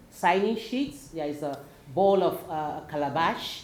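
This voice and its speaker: A woman with an African accent speaks at a fairly slow pace with very wide pitch swings, over noticeable background noise and audible room echo. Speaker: teacher. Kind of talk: panel discussion.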